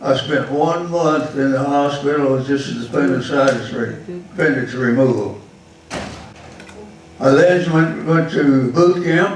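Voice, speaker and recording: A man in a Texan accent, fairly high-pitched, at a very slow pace with ordinary pitch variation and music in the background. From Texas. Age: 80s+. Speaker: war veteran. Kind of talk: public talk about his life.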